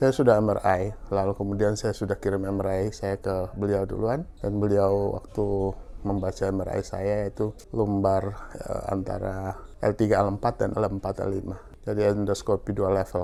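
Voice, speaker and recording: The man's fairly low voice has a dark, mellow tone and a monotone, flat intonation. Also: moderate pace. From Maluku, eastern Indonesia. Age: 60s. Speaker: patient. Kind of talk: testimony. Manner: hesitant, with fillers.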